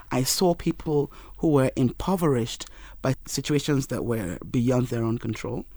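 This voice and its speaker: A woman with a Yoruba accent speaks at a very deep, low pitch with a dark, mellow tone. Her pace is fairly slow and her pitch variation ordinary. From Nigeria. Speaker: marketing professional. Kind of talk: casual interview chat. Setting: studio.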